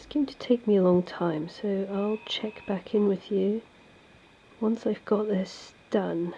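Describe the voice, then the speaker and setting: Very slowly, a woman of medium pitch speaks with fairly even intonation but big swings in loudness. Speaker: illustrator and craft vlogger. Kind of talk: studio vlog tutorial. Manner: casual, hesitant with fillers.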